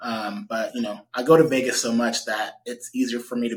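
A man with a Californian accent, medium in pitch, at a moderate pace, in a monotone, flat intonation. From US West Coast, Stockton, California. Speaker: real estate agent and investor. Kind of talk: interview.

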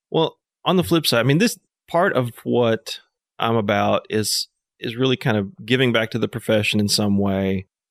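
Here a man with an American accent uses a normal speaking voice at medium pitch, with ordinary pitch variation. He keeps a moderate pace, and the sound is dry and close with no echo. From Northwest Arkansas, US South. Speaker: landscape architect. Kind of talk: casual interview chat. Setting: outdoors on a back deck.

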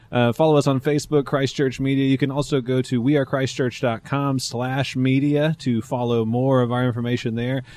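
With an American accent, a man speaks at medium pitch and a moderate pace in monotone, flat intonation. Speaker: pastor. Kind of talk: casual talk show chat. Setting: live stream.

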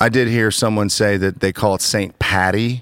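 A man with an American accent speaks in a normal speaking voice at a fairly low pitch and moderate pace, with fairly even intonation, on a very clean recording with a silent background and a dry, close sound with no echo. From Ohio, US (Worthington). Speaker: pastor and podcast host. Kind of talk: casual chat.

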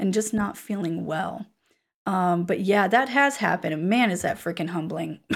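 A woman with a normal speaking voice talks at a moderate pace with medium pitch and ordinary pitch variation on a very clean recording with a silent background. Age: 30s. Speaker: career coach and podcaster. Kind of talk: casual chat.

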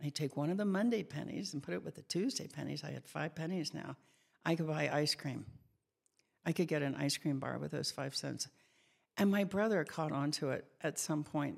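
Very deep, low female voice with vocal fry, ordinary pitch variation and moderate pace, in a very clean recording with a silent background. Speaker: nutrition and food addiction expert. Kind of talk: podcast interview. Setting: in-person recording.

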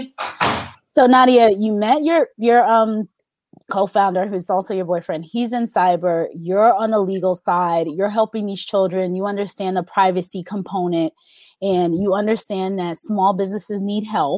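A woman talks in a normal speaking voice at medium pitch and a moderate pace, with ordinary pitch variation and a dry, close sound with no echo. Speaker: podcast host and recruiter. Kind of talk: casual interview chat.

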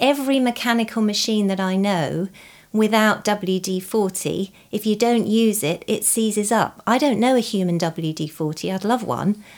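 A woman speaks fairly slowly at a medium pitch, with ordinary pitch variation and an ordinary speaking voice. The recording is very clean, with a silent background. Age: 50s. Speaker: podcast host, doctor of traditional Chinese medicine. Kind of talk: podcast interview.

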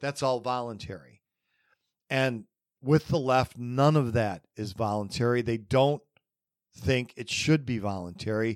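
A man speaks in a medium pitch at a fairly slow pace, with ordinary pitch variation. His loudness swings widely, and he takes long, frequent pauses. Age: 50s. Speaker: political podcast host. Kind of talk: solo commentary monologue. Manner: frequent fillers (um, uh).

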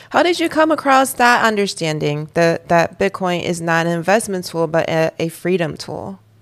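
A woman talks at a moderate pace with a fairly low pitch and ordinary pitch variation. It's a plain, everyday voice on a very clean recording with a silent background. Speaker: podcast host. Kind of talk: interview.

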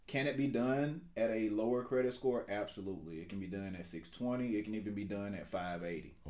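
A man's fairly low, dark, mellow voice with an Alabama accent, ordinary pitch variation and a fairly quick pace, in a room with audible echo. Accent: Southern US (Alabama). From US South, rural south Alabama. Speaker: real estate agent. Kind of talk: casual interview.

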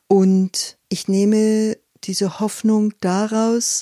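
A woman's dark, mellow tone comes through in a very clean recording with a silent background and a dry, close sound with no echo. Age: 50s. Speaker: forest educator and workshop leader. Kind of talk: interview. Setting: at her home.

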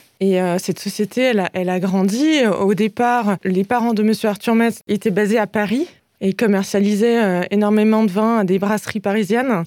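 Her tone is dark and mellow, with fairly even intonation and very even loudness at a moderate pace. The woman's voice has a dry, close sound with no echo. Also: medium pitch for a woman. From Alsace, France. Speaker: wine sales manager. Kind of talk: radio interview.

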